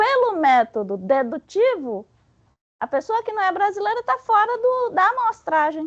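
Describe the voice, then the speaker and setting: A woman with a Bahian accent speaks at an extremely high pitch, with very wide pitch swings. The sound is dry and close, with no echo. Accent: Bahian Brazilian Portuguese. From Bahia, Brazil. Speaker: spiritist study presenter. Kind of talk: lecture. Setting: spiritist center meeting with audience. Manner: halting; animated.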